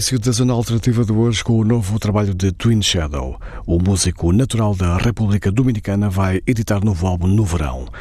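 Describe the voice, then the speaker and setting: A man with a European Portuguese accent talks at a very fast pace, hardly pausing, with a fairly low pitch and ordinary pitch variation. His loudness stays very even, and there is noticeable background noise. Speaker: radio music show host. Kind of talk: radio presenting between songs. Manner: formal.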